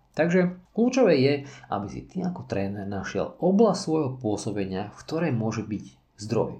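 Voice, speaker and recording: At a moderate pace, a man speaks in a somewhat breathy voice with a dark, mellow tone. His pitch swings very widely, and room echo is audible. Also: medium pitch for a man. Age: 40s. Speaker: parkour and fitness coach. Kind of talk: solo podcast monologue.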